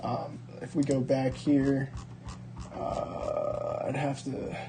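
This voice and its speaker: There is noticeable background noise behind this man. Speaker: sports card collector and video creator. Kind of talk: casual card-opening video. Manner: casual, many fillers; fast.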